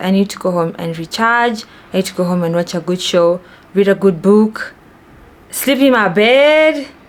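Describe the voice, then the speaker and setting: This woman speaks with a Kenyan accent and ordinary pitch variation. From Kenya, Nairobi. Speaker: vlogger. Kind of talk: casual chat.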